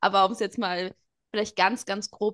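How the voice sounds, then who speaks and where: This woman's voice has a bright, sharp tone, medium pitch and fairly even intonation. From Portugal. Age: young. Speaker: interview guest, spiritual seeker. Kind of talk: interview, personal testimony.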